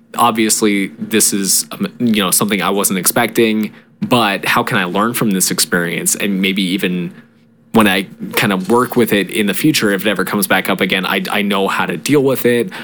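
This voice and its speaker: Against noticeable background noise, a man speaks at a moderate pace with a fairly low pitch and ordinary pitch variation. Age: 20s. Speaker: podcast co-host. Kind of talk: casual chat.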